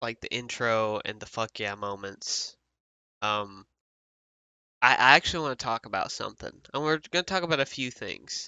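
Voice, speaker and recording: A man's voice in a Southern US accent, with lively intonation, a moderate pace, and long, frequent pauses. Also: medium pitch for a man. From US South. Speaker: podcast host. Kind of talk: casual chat.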